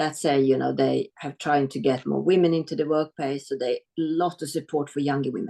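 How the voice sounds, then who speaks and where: Speaking at a fairly quick pace with a Swedish accent, a woman has a very deep, low pitch and vocal fry, recorded with a dry, close sound and no echo. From Sweden (adopted from South Korea). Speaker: business executive. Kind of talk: webinar interview.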